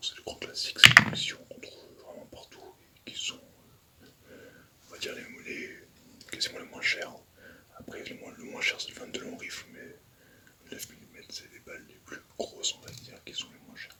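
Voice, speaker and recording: Whispering in a calm tone at a moderate pace, with long, frequent pauses and noticeable background noise. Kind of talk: ASMR whisper / soft-spoken talk. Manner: whispered, soft-spoken; calm, hesitant.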